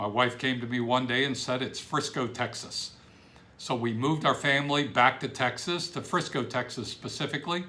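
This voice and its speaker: A man with an American accent speaks at a moderate pace in a bright, sharp tone. His pitch is medium, with ordinary variation. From Ohio, Cleveland area. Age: 60s. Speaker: business coach. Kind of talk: self-introduction video. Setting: home office.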